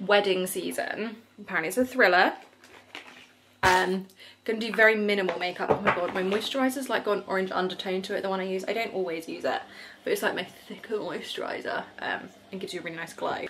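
A woman at a very fast pace, fairly even intonation, noticeable background noise behind her. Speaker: vlogger. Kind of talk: casual vlog chat. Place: home room. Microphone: phone near.

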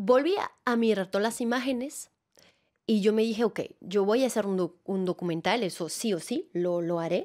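In a Venezuelan accent, a woman talks at medium pitch and a moderate pace with ordinary pitch variation against a quiet background. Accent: Latin American Spanish, Venezuelan-tinged. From France, Alps near Annecy; France. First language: French (speaking Spanish). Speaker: actress and theatre director; actress. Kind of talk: interview. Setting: studio. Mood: warm, smiling, animated. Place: studio. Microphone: studio mic.

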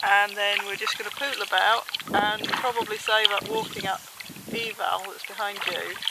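Loud noise fills the background. The sound is dry with no echo, and the pace is moderate. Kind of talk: casual vlog chat. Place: boat. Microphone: phone near.

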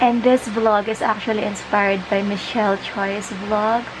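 Over noticeable background noise, a woman speaks very slowly in a relaxed tone with monotone, flat intonation. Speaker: vlogger. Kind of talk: casual vlog chat. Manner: relaxed, lying-down drowsy voice. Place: home room. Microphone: phone near.

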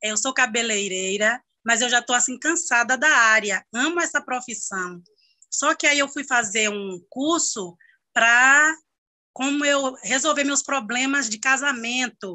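The background is quiet. Delivery is fairly slow, with ordinary pitch variation. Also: woman, high pitch for a woman. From Brazil. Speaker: hairdresser. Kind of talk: workshop participant question. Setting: video call. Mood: enthusiastic, grateful. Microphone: video call.

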